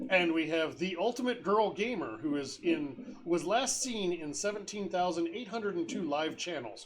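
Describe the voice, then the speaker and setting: Against noticeable background noise, a man with a high pitch speaks with lively intonation. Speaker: tabletop game master streamer. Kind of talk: casual chat.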